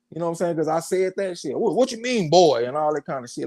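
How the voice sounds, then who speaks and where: A man with a Southern accent, a dark, mellow tone and lively intonation. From US South. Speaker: boxing show host. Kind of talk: casual chat.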